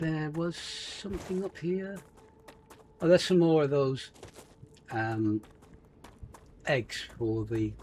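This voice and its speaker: A man with a fairly high pitch at a very slow pace, long, frequent pauses and noticeable background noise. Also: lively intonation. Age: 70s. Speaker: gaming YouTuber. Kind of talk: gameplay commentary. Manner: casual, chatty.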